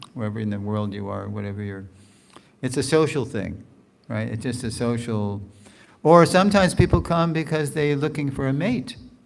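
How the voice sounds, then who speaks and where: With an American accent, a man of medium pitch talks at a fairly quick pace with lively intonation, and the room echo is audible. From New York area, US. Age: 70s. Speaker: spiritual teacher. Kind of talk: lecture with Q&A. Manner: conversational.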